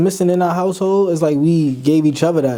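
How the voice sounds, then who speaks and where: Noticeable background noise sits behind a man's voice. He speaks fairly high, with fairly even intonation. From Brooklyn, New York (Brownsville). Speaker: rapper. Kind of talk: casual interview.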